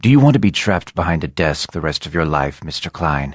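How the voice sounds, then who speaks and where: A man does a put-on character voice, growling in a very deep, low pitch. He talks at a very fast pace with lively intonation. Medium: read story. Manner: smooth, persuasive.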